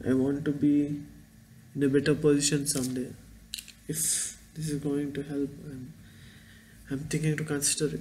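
Over light background noise, a man with an Indian accent speaks at a fairly high pitch in a monotone, flat way with long, frequent pauses. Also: moderate pace. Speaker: vlogger and engineering student. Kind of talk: casual vlog monologue. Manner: halting, rambling. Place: home room. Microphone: webcam.

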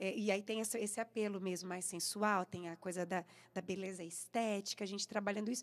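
A woman at a fairly quick pace, medium in pitch, with monotone, flat intonation. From interior of São Paulo state, Brazil. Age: 40s. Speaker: singer; interviewee. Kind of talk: radio interview. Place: studio. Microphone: studio mic.

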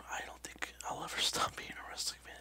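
A soft-spoken man whispering at a moderate pace over light background noise. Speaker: vlogger, ASMR channel host. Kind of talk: casual vlog chat. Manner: soft whispered close-mic talk. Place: home room. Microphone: headset.

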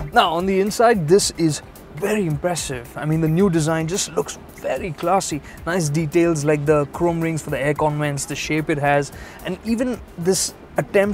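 Set against music in the background, a man speaks at a moderate pace with ordinary pitch variation in a dry sound with no echo. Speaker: TV presenter. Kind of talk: car review presentation. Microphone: lapel.

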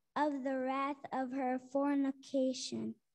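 A woman speaks at a very slow pace. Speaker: scripture reader. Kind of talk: reading aloud.

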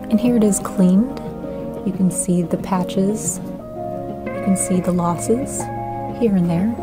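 Fairly slow speech over clear background music. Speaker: amateur painting restorer. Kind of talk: tutorial voice-over narration. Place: home room.

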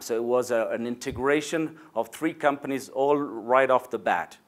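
Against a quiet background, a man with a Spanish accent speaks at a moderate pace with ordinary pitch variation. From Argentina, Buenos Aires. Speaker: insurance executive. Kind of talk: corporate video address. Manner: hesitant, with fillers. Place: office. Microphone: lapel.

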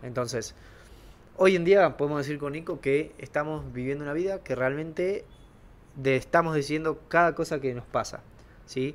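Using long, frequent pauses, a man talks at a fairly high pitch with ordinary pitch variation. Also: moderate pace. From Argentina. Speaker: podcast co-host. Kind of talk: casual conversational podcast. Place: home room. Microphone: handheld.

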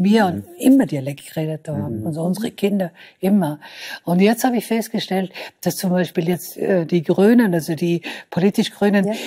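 A woman talks at a fairly quick pace with a medium pitch and lively intonation. Her tone is dark, mellow and somewhat breathy, over a quiet background. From Vorarlberg, Austria. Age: 70s. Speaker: writer. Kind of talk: talk show interview answer. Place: studio. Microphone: lapel.

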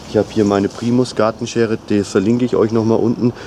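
Light background noise accompanies a man speaking at a fairly quick pace. His intonation is monotone and flat. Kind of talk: casual tutorial vlog. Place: garden.

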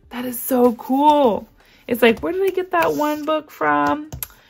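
An animated voice with very wide pitch swings over light background noise. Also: woman. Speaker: budgeting and unboxing youtuber; unboxing youtuber. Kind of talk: unboxing vlog. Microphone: phone near.

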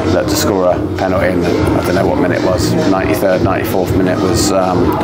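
A man's speech proceeds at a moderate pace. Clear music can be heard behind him. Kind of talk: interview answer. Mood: pleased, relieved after win. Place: stadium. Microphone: lapel.

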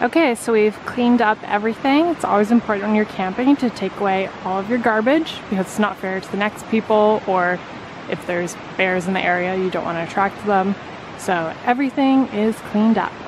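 Against noticeable background noise, in a dry sound with no echo, a woman talks at a fairly quick pace with medium pitch and ordinary pitch variation. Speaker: travel vlogger. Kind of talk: casual vlog talk to camera.

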